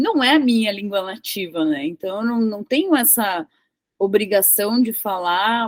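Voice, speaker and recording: A woman talks at a fairly slow pace in an ordinary speaking voice. Her fairly high pitch carries lively intonation. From southern Brazil (Rio Grande do Sul). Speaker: tech professional and English teacher. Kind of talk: casual interview conversation.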